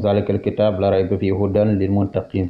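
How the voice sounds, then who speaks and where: A man speaks with a Senegalese accent at a fairly low pitch. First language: Wolof (speaking French). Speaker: Islamic religious teacher. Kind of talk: religious teaching. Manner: halting, many hesitations.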